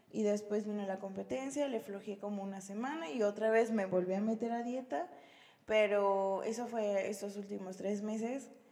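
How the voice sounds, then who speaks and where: A woman speaks at a moderate pace and medium pitch with ordinary pitch variation. She has an ordinary speaking voice. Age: 20s. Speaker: nursing graduate and fitness athlete. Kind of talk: casual chat. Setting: home recording.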